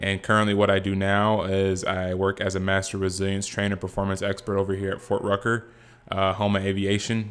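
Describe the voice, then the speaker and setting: Speaking at a moderate pace, a man with a Californian accent has a fairly low pitch and monotone, flat intonation. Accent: Californian American English. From Southern California. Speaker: podcast host, former college football player, performance psychology trainer. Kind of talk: casual podcast introduction monologue.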